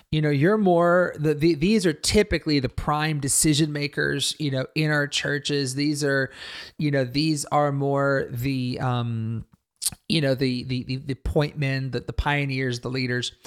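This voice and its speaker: This man has a fairly high pitch and speaks at a fairly slow pace. It is an ordinary speaking voice with ordinary pitch variation. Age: 40s. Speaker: pastor and ministry leader. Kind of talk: interview conversation.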